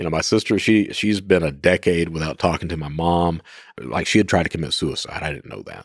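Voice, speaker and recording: With an Appalachian accent, a man talks at a fairly quick pace in a very deep, low pitch, his loudness swinging widely. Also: ordinary pitch variation. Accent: Appalachian Kentucky. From Eastern Kentucky, US. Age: 50s. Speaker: former cybercriminal. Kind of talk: podcast interview. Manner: casual, halting with repetitions.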